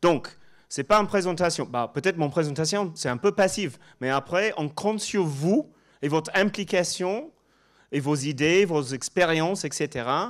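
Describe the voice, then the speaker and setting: A man with a slight English accent and a high pitch speaks at a fairly slow pace with ordinary pitch variation, on a very clean recording with a silent background. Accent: slight English-speaking accent in French. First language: English (speaking French). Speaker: professor. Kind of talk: conference presentation. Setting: stage with audience. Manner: halting, with many fillers and repetitions.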